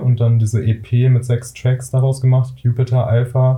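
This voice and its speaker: A man speaks in a somewhat breathy voice. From Ruhr area, Germany. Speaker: singer-songwriter. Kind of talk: casual chat.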